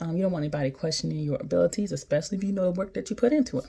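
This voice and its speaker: A somewhat breathy woman's voice with ordinary pitch variation. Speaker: physician assistant vlogger. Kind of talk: casual vlog chat. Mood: encouraging, warm. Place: home room. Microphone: phone near.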